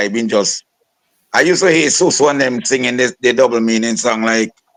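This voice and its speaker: A man speaks at a moderate pace with lively intonation, his pitch medium. It's an ordinary speaking voice, with a dry, close sound and no echo. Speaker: soca and calypso singer. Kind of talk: interview.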